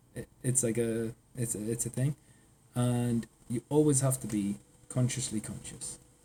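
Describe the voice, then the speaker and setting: A man with a northeast English accent speaks in a somewhat breathy, dark, mellow voice at medium pitch and a moderate pace. His intonation is monotone and flat, with long, frequent pauses. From northeast England. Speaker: AI consultant. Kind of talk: casual chat.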